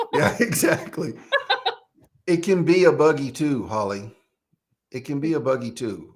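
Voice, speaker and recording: At a moderate pace, a man with a fairly high pitch and vocal fry uses lively intonation and leaves long, frequent pauses. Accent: American. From East Texas, small town. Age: 40s. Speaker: podcast host. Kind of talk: casual chat. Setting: live stream.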